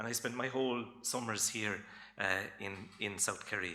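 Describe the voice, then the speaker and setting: This man's voice sits at a medium pitch with a bright, sharp tone. He speaks at a fairly slow pace with fairly even intonation, and audible room echo surrounds him. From Ireland, Cork. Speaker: folklore lecturer. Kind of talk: lecture. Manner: casual, with many fillers.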